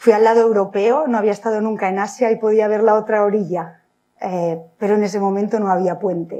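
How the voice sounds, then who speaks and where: A woman at medium pitch and a moderate pace, with fairly even intonation. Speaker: civil engineer. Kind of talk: lecture. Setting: lecture hall with audience. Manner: halting, with frequent repetitions.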